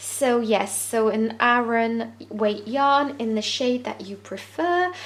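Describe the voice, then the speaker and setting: A woman with a French accent talks at a very slow pace, her high-pitched voice moving with ordinary pitch variation. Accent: French accent, noted by self. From France. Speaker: crochet tutorial creator. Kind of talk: tutorial. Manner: hesitant with frequent fillers.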